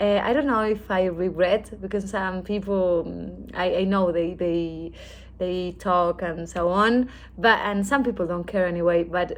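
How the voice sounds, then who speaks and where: A woman's medium-pitched, fairly slow delivery with fairly even intonation. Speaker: vlogger sharing jaw surgery recovery. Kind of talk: casual vlog update. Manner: halting, many fillers and repeats.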